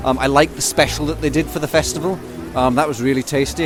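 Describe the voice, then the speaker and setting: Music plays behind a man who talks at a fairly quick pace. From Leicester, England, to Scottish parents. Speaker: festival goer. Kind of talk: casual interview. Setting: outdoor festival marquee.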